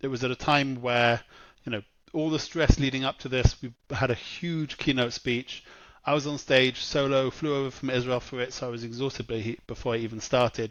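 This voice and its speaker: With a British accent, a man talks at a fairly quick pace with fairly even intonation. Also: medium pitch for a man, quiet background. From England. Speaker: marketing executive. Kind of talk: podcast interview. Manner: conversational, with fillers.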